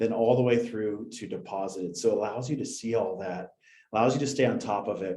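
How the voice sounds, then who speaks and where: With an American accent, a man speaks fairly quickly at a medium pitch, his dark, mellow tone carrying fairly even intonation. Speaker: sales representative for a payments platform. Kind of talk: product presentation.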